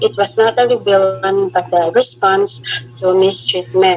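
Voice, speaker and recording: Over music in the background, a woman at medium pitch talks at a fairly slow pace with very wide pitch swings. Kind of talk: student group report presentation.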